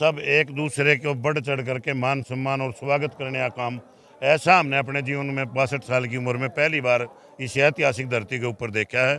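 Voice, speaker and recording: A man with an unremarkable speaking voice talks at a medium pitch with fairly even intonation. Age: 60s. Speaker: khap leader. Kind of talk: interview. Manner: formal.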